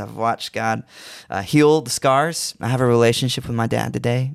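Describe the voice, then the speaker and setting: An ordinary speaking voice from a man, medium in pitch, at a moderate pace. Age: 20s. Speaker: recording artist. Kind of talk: interview.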